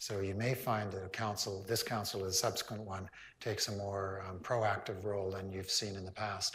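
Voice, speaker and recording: A man speaks in a fairly low pitch with monotone, flat intonation. Room echo is audible. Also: moderate pace. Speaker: town hall moderator, local council member. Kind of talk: public town hall meeting.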